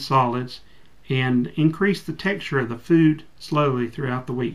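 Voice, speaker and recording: A man with an ordinary speaking voice, moderate tempo, fairly high pitch, and ordinary pitch variation. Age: 40s. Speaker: bariatric surgery patient. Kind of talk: reading aloud from instructions.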